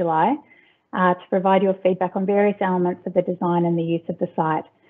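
Very fast speech against a quiet background. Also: woman. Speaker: council presenter. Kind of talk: formal presentation. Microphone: video call.

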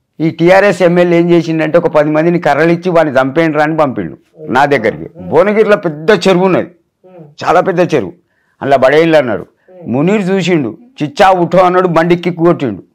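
A man's high voice with ordinary pitch variation and very even loudness. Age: 60s. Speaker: viral meme personality. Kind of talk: interview. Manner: animated.

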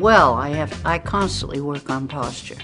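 The speaker talks at a very slow pace with clear music in the background. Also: woman. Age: 80s+. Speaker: gym client. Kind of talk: interview answer. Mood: upbeat, enthusiastic. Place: gym.

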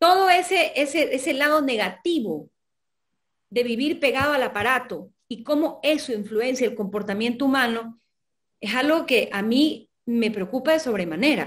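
A woman's high voice at a moderate pace with lively intonation, over a quiet background. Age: 40s. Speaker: novelist; guest. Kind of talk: interview. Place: home room.

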